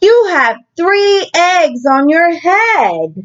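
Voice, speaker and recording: A woman's put-on character voice, pitched extremely high. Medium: read story. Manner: calm, matter-of-fact.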